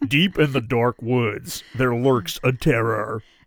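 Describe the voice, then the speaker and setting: A man puts on a character voice at medium pitch and a fairly slow pace, captured on a very clean recording with a silent background. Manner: dramatic, ominous.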